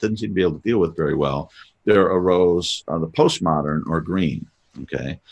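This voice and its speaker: A man with a very deep, low voice and vocal fry speaks at a moderate pace. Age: 60s. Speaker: podcast host. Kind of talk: casual chat. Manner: halting.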